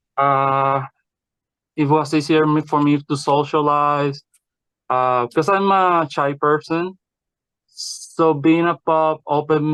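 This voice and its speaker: With a non-native accent, a man talks at a fairly slow pace in a fairly high pitch, his intonation fairly even and the sound dry and close with no echo. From Puerto Rico. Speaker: podcast guest. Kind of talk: interview. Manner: halting.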